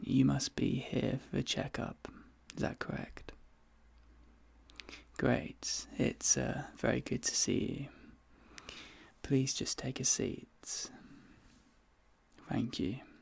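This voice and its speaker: Whispering, a man speaks very slowly with long, frequent pauses. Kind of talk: ASMR roleplay. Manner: soft-spoken, calm.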